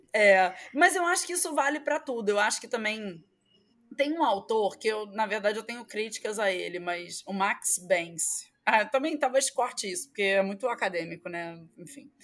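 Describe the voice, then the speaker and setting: In a Rio de Janeiro accent, a woman speaks at a moderate pace and fairly high pitch, with very wide pitch swings and big swings in loudness, on a very clean recording with a silent background. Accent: carioca. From Rio de Janeiro, Brazil. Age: 30s. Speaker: professor. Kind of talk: interview.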